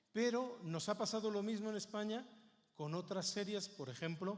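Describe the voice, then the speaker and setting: There is audible room echo as a man speaks with a Spanish accent. His intonation is lively and his pace moderate. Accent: Peninsular Spanish. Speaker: Bible society speaker. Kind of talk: conference talk.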